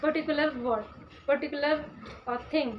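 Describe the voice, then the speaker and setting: Through noticeable background noise, a woman's voice comes across high in pitch. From India, Uttar Pradesh. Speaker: vlogger. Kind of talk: casual vlog talk. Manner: halting, many fillers.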